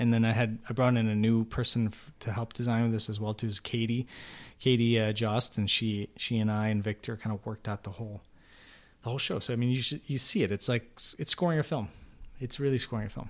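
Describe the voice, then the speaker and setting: A man talks at a medium pitch in an unremarkable speaking voice, with fairly even intonation and a fairly quick pace. The recording is very clean, with a silent background. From US Midwest, Chicago. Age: 40s. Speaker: immersive theater creator. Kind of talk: casual interview.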